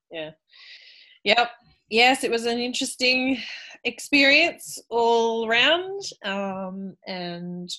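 A woman with an Australian accent speaks in a bright, sharp tone with lively intonation. The background is quiet. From Australia, Sydney. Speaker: film podcast host. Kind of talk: casual chat. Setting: remote call.

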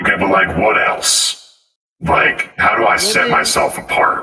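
In a put-on character voice, a man speaks raspily at a moderate pace, with a slight echo. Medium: actual play. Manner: blunt, casual.

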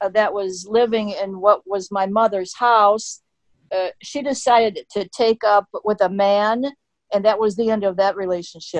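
In a quiet background, a woman with an American accent speaks fairly slowly at a medium pitch with fairly even intonation, an unremarkable speaking voice captured with a dry, close sound and no echo. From US (came from England at 4). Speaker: citizenship test instructor. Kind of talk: interview.

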